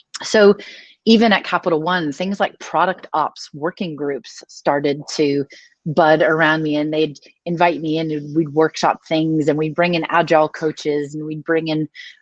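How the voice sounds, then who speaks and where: A woman with an American accent, her pitch very deep and low, at a moderate pace, with fairly even intonation and a dry, close sound with no echo. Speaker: design operations lead. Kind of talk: conference talk. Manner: casual, conversational.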